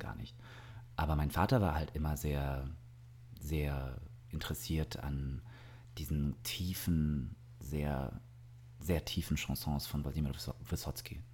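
Fairly slow and marked by long, frequent pauses, a man speaks in a very deep, low voice with vocal fry and ordinary pitch variation. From southern Germany, Augsburg. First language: Russian (speaking German). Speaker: singer and actor. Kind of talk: casual interview. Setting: indoors by an open terrace door.

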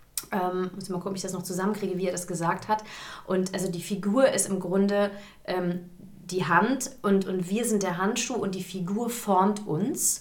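This woman speaks at a medium pitch with fairly even intonation. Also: moderate pace. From Hesse, Germany (Gießen). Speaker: musical theatre performer. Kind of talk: casual interview. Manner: hesitant, many fillers.

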